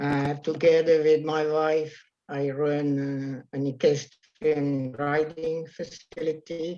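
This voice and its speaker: In a Dutch accent, a man speaks very slowly in a dark, mellow tone, his fairly high pitch delivered with monotone, flat intonation. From Netherlands. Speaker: riding facility owner. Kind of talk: video call introductions. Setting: video call. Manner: halting.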